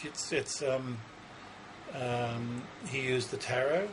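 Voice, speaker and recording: A man speaks at a medium pitch. There is audible room echo and noticeable background noise. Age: 60s. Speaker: psychic. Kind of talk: interview. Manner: halting.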